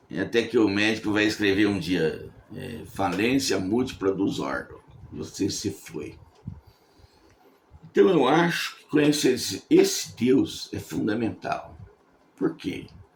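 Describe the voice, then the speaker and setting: A man speaks at a very slow pace, leaving long, frequent pauses. His loudness swings widely, and the room echo is audible. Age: 70s. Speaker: preacher. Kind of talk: sermon. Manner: conversational, repeats words.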